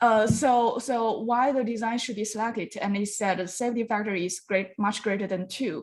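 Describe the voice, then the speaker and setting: A woman with a non-native accent speaks at a fairly high pitch and a moderate pace, with fairly even intonation and hardly any pauses, in a very clean recording with a silent background. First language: not English. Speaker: design review judge. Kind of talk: design review feedback. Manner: halting.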